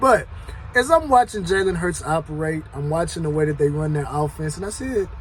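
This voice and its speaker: Noticeable background noise runs beneath a man's speech. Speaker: sports commentary youtuber. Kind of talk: casual monologue. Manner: loud.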